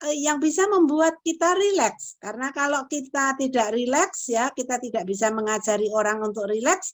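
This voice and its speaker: The speech has lively intonation and moves at a moderate pace. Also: woman, high pitch for a woman. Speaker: lecturer in counseling psychology. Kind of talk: lecture.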